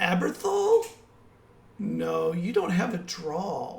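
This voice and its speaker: Putting on a character voice, a man talks at a very slow pace in a raspy, high-pitched voice, with audible echo around him. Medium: actual play. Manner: cool, insinuating.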